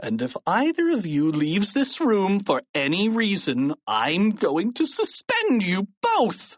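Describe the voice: Shouting and growling in a put-on character voice, the speaker goes at a slow pace with very wide pitch swings and a dry, close sound with no echo.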